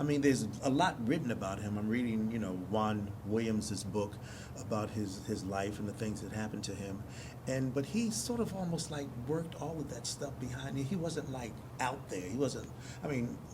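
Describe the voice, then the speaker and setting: A man's medium-pitched voice in an American accent, moderate in pace with lively intonation, amid noticeable background noise and audible room echo. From US Northeast, North Philadelphia. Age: 70s. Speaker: stage actor. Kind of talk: interview. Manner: halting, frequent restarts.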